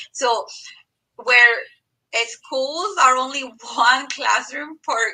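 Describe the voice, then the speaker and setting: At a very slow pace, a woman with a Mexican accent projects a raised, high voice with ordinary pitch variation. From Mexico, rural Zacatecas. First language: Spanish. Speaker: medical coder and teaching assistant. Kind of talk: live stream interview.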